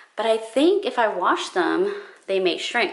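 Against quiet surroundings, a woman is talking. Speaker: style vlogger. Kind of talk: casual vlog chat. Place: home room. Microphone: phone near.

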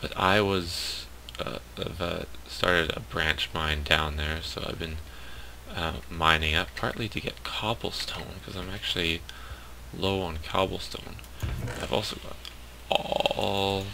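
With a very deep, low pitch and ordinary pitch variation, a man speaks at a fairly slow pace with long, frequent pauses amid noticeable background noise. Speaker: game commentator. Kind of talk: casual gameplay commentary.

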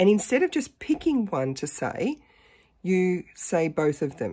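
In a quiet background, a woman's dark, mellow voice moves through very wide pitch swings. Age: 50s. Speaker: dating vlogger. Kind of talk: casual talk to camera. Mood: animated, self-mocking storytelling. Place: home room. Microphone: phone near.

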